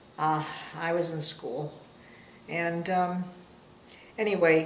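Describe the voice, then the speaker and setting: Amid noticeable background noise and audible room echo, a woman with an American accent speaks very slowly at a fairly low pitch, her intonation fairly even. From Massachusetts, Boston area. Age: 70s. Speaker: interviewee. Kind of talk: casual family interview. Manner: halting.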